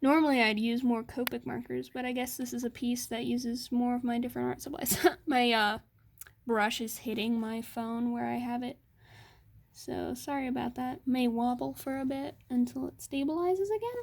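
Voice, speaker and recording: On a very clean recording with a silent background, a woman with a high pitch speaks in fairly even intonation. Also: moderate pace. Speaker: art streamer. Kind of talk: art tutorial. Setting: at home in her room. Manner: quiet when concentrating.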